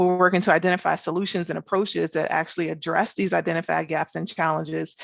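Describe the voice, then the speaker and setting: A woman with an American accent speaks at a very fast pace with vocal fry. Her pitch is fairly low, and the background is quiet. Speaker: government research scientist. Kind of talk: conference presentation. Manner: fast-paced.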